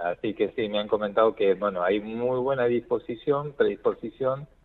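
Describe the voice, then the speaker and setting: A man speaks at a moderate pace. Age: 50s. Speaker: cardiologist. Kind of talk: radio interview.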